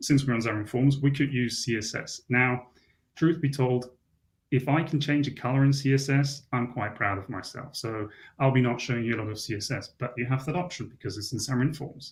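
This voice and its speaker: A somewhat breathy man talks at a fairly quick pace, with room echo audible in the recording. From Switzerland. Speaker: software developer conference speaker. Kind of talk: conference tech talk with live demo.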